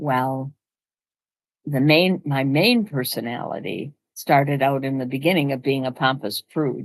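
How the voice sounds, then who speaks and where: Against a quiet background, a woman speaks at a fairly slow pace with a very deep, low pitch and fairly even intonation. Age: 80s+. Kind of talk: casual talk to camera.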